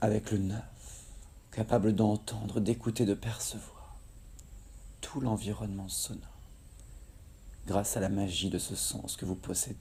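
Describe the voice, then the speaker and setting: Speaking at a fairly slow pace with a fairly low pitch, a man uses fairly even intonation and a calm, soothing tone. His speech has long, frequent pauses. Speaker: hypnotherapist guiding a relaxation session. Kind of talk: guided hypnosis relaxation. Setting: recorded outdoors in tropical nature in Kerala, India, with nature sounds. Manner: slow, calm, soothing.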